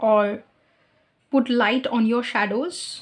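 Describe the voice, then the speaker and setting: A woman's high-pitched voice with a non-native accent. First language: not English. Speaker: tarot reader. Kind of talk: tarot reading. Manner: halting, with fillers.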